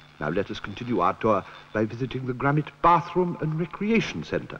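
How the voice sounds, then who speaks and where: Very wide pitch swings from a man over noticeable background noise. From British. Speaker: actor. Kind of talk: comic documentary narration.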